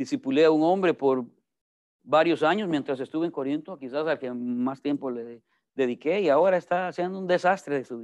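Over a quiet background, a man with a Salvadoran accent speaks at a fairly quick pace and a fairly high pitch, with big swings in loudness. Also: ordinary pitch variation. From El Salvador. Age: 40s. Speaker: pastor. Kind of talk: sermon. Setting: church. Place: classroom. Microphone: video call.

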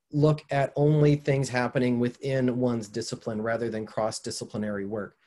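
A man with an American accent and a dark, mellow tone, at a fairly quick pace with ordinary pitch variation, over a quiet background. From southeastern Minnesota, USA. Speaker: environmental communication professor. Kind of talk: online lecture. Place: home room. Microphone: webcam.

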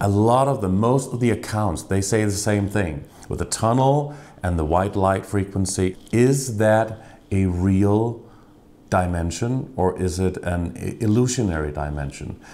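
Pitched fairly low and varying in an ordinary way, this man has a plain, everyday voice. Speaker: interviewer. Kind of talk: interview. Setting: guest's home.

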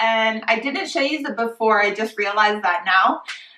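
Her tone bright and sharp, a woman speaks at a moderate pace with ordinary pitch variation amid audible room echo. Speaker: home organizing vlogger. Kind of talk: casual vlog chat. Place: kitchen. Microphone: camera far.

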